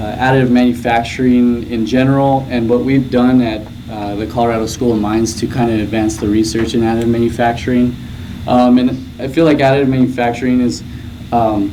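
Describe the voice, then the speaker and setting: A man's medium-pitched voice at a fairly quick pace, with fairly even intonation, audible room echo and noticeable background noise. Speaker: graduate student researcher presenting. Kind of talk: conference presentation. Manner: soft-spoken; hesitant, many fillers.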